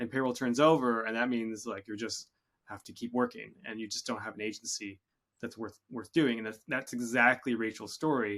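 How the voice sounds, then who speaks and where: A man with a Canadian accent has a plain, everyday voice, medium pitch and ordinary pitch variation. He speaks at a moderate pace on a very clean recording with a silent background. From Canada. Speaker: podcast host, software company CEO. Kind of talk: interview podcast.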